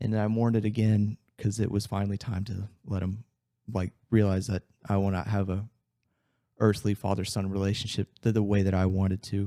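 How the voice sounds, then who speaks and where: A dark, mellow tone in flat, monotone delivery at a fairly quick pace, on a very clean recording with a silent background and a dry, close sound with no echo. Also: man, fairly low pitch for a man. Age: 20s. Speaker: fitness coach. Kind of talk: personal testimony in podcast interview.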